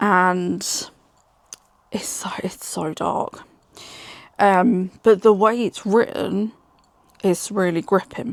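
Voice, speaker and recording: A woman's medium-pitched voice at a very slow pace, fairly even in intonation, broken by long, frequent pauses. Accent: British. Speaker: book reviewer. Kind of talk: casual chat.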